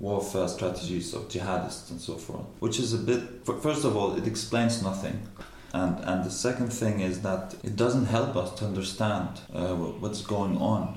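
Over noticeable background noise, a man talks with a fairly low pitch. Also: ordinary pitch variation, moderate pace. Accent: Arabic. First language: Arabic. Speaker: postdoctoral researcher in Islamic studies. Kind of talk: casual academic discussion. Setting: around a table during a coffee break.

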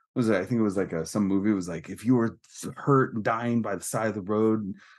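With an American accent and a plain, everyday voice, a man speaks at a fairly quick pace. His pitch is fairly low, with ordinary pitch variation. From Northern California. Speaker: punk musician and former record label manager. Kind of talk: casual interview. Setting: remote call from a bathroom.

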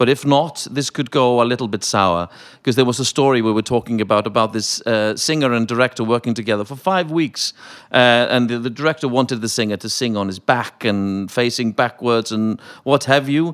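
On a very clean recording with a silent background, a man talks at a fairly quick pace with a slight Welsh accent. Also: medium pitch for a man, ordinary pitch variation. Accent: slightly Welsh-sounding British English. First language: Icelandic. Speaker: opera singer. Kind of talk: panel discussion.

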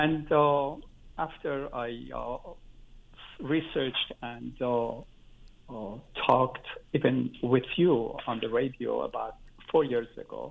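A man talks at a very slow pace with long, frequent pauses and big swings in loudness. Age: 70s. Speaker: caller. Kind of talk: call-in conversation. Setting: phone call.

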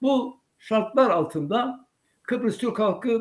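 A man speaks at a very slow pace. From Cyprus (Turkish Cypriot). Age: 80s+. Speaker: veterans' association head. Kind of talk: interview testimony.

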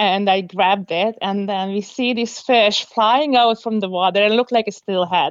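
A woman speaks at a medium pitch and a moderate pace. Her intonation is monotone and flat. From Hungary. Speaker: fishing guide and fly tyer. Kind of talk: interview. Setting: phone call.

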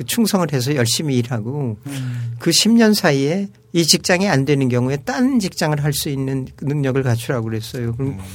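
A man speaks at a moderate pace in a fairly high voice with lively intonation. His delivery is somewhat breathy. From Seoul, South Korea. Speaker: retired diplomat and professor. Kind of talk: casual chat.

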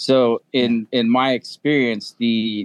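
Medium-pitched man with a plain, everyday voice. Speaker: experienced adventure motorcycle rider. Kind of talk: casual chat. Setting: video call.

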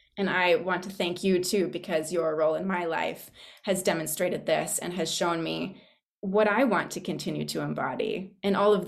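Vocal fry marks this speech, which moves at a fairly slow pace with fairly even intonation. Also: woman. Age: young. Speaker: public speaker with theater background. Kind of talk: sharing in a group discussion.

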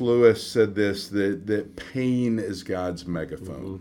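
The intonation is lively, and the delivery comes at a fairly slow pace. It is an ordinary speaking voice. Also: man. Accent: American. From US South, Atlanta, Georgia. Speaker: ministry representative. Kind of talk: radio interview.

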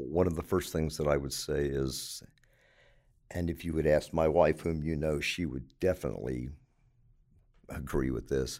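With an American accent, a man talks at a moderate pace in a very deep, low pitch with vocal fry, fairly even intonation, and long, frequent pauses. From Baltimore, Maryland. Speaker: retired police officer, hospital security. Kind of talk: interview.

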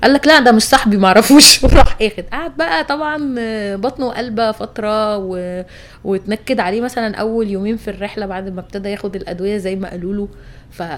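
Loud and fairly quick, a woman speaks at a fairly high pitch with ordinary pitch variation. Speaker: travel podcast host. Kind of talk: casual chat.

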